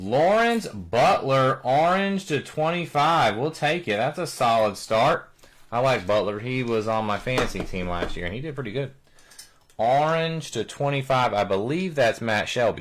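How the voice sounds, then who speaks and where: Over noticeable background noise, a man with a medium pitch speaks at a moderate pace with very wide pitch swings. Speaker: card breaker, live stream host. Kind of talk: live card break commentary.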